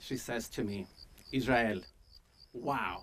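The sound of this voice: A man talks at a slow pace with a medium pitch. His tone is fairly bright, with ordinary pitch variation.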